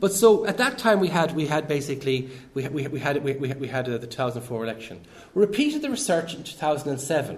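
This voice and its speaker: A man with an Irish accent speaks at a fairly high pitch with lively intonation. Noticeable background noise runs behind him. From Ireland. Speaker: professor. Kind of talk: lecture. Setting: academic event with audience. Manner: halting, many repeated words.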